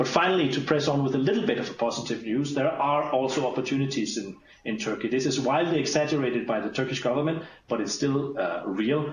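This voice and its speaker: Over noticeable background noise, a man with a Danish accent speaks at a very fast pace. His pitch is fairly high. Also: ordinary pitch variation. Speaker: diplomat. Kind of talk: briefing presentation. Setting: video call. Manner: fast talker.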